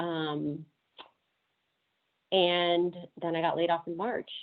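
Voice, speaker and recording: A woman's voice, fairly low in pitch. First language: Spanish. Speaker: travel industry professional. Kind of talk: panel Q&A answer.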